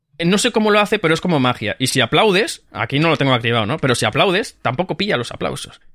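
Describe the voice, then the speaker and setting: This man talks at a very fast pace with hardly any pauses, his fairly high voice making very wide pitch swings. Vocal fry shows up too. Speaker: podcast co-host. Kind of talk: casual chat.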